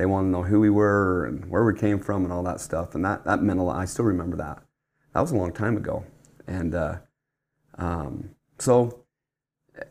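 With a Utah accent, this man talks at a fairly low pitch and shows ordinary pitch variation. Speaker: church bishop. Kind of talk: casual interview. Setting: studio table. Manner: halting, many fillers.

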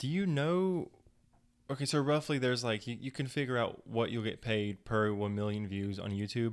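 An ordinary speaking voice with an American accent moves at a moderate pace with lively intonation, in a very clean recording with a silent background. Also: man, medium pitch for a man. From US Midwest (Ohio). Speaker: podcast guest. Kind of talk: casual chat.

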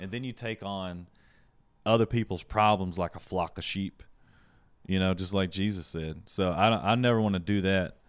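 With a Southern US accent, a man speaks at a moderate pace in a very deep, low pitch on a very clean recording with a silent background. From US South Carolina. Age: 20s. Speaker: stand-up comedian and yoga instructor. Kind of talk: casual chat, comedic interview. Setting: host's apartment, home studio. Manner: animated, profane.

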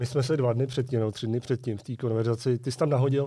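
Somewhat breathy and medium-pitched, a man speaks at a very fast pace with a dark, mellow tone. The recording is very clean with a silent background. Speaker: podcast host. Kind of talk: casual chat.

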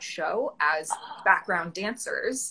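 A woman with a Canadian accent has a fairly high pitch and a bright, sharp tone. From Ontario, Canada. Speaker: actor. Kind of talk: casual chat interview. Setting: Instagram live video chat.

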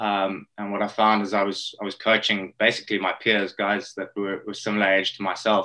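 A man's fairly low voice, bright and sharp in tone, monotone and flat, at a fairly quick pace with hardly any pauses. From South Africa. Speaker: rowing coach. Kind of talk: interview. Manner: hesitant, many fillers and repeated words.

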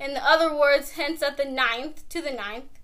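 A woman speaks in a raised, projected voice. It's high-pitched, with a bright, sharp tone. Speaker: co-host. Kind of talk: casual chat.

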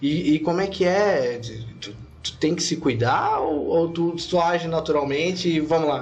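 High-pitched for a man, this male voice carries fairly even intonation, with audible room echo around it. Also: fairly slow pace. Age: 30s. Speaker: podcast host. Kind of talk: casual interview. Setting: studio.

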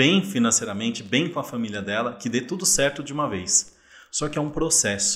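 A plain, everyday voice belongs to a man speaking with a fairly high pitch. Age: 40s. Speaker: investor and insurance professional. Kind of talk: casual interview chat.

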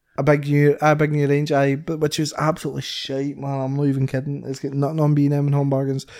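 Hardly pausing, a man with a fairly high pitch speaks at a very fast pace in a monotone, flat intonation. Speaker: podcast co-host. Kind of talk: casual chat.

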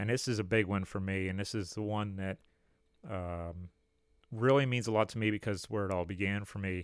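In a normal speaking voice, a man talks fairly quickly at a fairly low pitch with fairly even intonation. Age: 30s. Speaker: history podcast host. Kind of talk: solo podcast monologue. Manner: casual, with frequent fillers.

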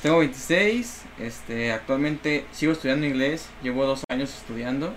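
Hardly pausing, a man with an unremarkable speaking voice talks at a fairly slow pace, fairly high in pitch with ordinary pitch variation. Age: 20s. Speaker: dancer. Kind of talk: casual chat.

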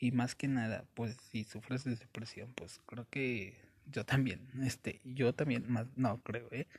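A man's medium-pitched, somewhat breathy voice with a Mexico City accent, very slow and fairly even in intonation. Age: 20s. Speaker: podcaster. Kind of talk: casual monologue. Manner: halting.

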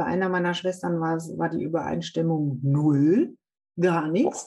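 A woman talks at a moderate pace with ordinary pitch variation. It is a normal speaking voice. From Germany, Münsterland. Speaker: podcast host, stem cell recipient. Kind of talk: casual interview. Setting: video call.

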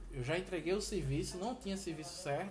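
A man with a high pitch, amid audible room echo and noticeable background noise. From Brazil, Pernambuco (Recife/Olinda). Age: 30s. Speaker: truck driver. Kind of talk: interview. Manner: halting.

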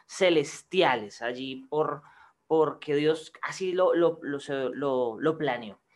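A man talks with ordinary pitch variation, and the background around him is quiet. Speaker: podcast co-host. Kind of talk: casual interview.

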